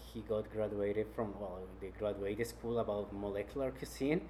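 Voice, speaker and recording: A man is speaking. He has a Spanish accent. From Colombia, Cali. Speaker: chef. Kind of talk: interview.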